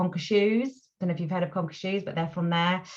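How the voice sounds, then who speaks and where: A woman's voice, medium in pitch and somewhat breathy. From England. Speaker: voice actor. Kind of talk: interview answer. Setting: video call.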